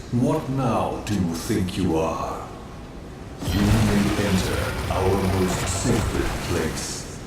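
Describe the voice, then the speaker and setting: A man does a cartoonish character voice at a very deep, low pitch and a very slow pace. Loud background noise and a slight echo fill the recording. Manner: solemn, formal.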